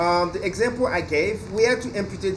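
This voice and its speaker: Audible room echo and noticeable background noise accompany a man speaking at a fairly slow pace. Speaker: English teacher. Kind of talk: lecture. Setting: outdoors on a balcony. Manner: loud.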